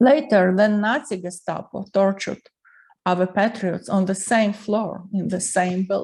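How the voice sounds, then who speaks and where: A woman speaks in a Ukrainian accent at a fairly slow pace. Her pitch is medium, with ordinary variation. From Ukraine, Lviv. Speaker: artist and writer, Soviet regime witness. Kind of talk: personal testimony.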